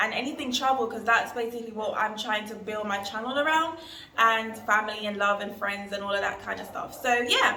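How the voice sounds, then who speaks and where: A woman with a London accent speaks in a room with audible echo and noticeable background noise. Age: 20s. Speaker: travel vlogger. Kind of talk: casual vlog talk to camera.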